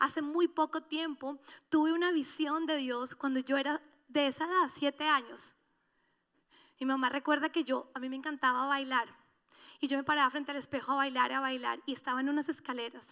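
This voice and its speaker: A woman projects a raised, high-pitched voice with a bright, sharp tone at a moderate pace. The recording is very clean, with a silent background. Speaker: pastor. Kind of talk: sermon. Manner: animated.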